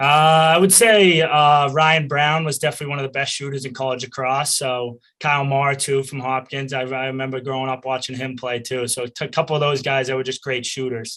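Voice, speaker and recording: Against a quiet background, a man with a Boston accent talks at a fairly quick pace with hardly any pauses, his fairly high pitch and bright, sharp tone paired with fairly even intonation. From Boston area, US Northeast. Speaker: college lacrosse player. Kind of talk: interview.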